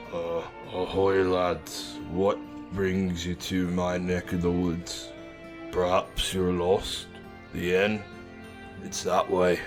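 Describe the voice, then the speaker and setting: A man puts on a character voice with a very deep, low pitch, talking at a very slow pace while music plays clearly in the background. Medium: audio drama.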